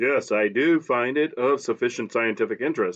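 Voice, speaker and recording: Putting on a character voice, a man speaks at a moderate pace in a resonant, medium pitch. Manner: authoritative.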